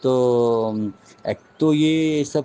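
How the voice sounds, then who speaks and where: Fairly high-pitched for a man, his dark, mellow voice moves with ordinary pitch variation. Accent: Marathi. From Maharashtra, India. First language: Marathi (speaking Hindi). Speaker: spiritual teacher. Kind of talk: spiritual talk with personal storytelling. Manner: halting, with frequent restarts.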